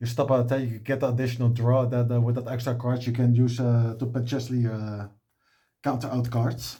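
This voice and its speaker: A man's somewhat breathy, dark, mellow voice at medium pitch, fairly quick in pace, with monotone, flat intonation. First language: not English. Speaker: card game content creator. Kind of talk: deck profile tutorial. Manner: halting, many filler sounds.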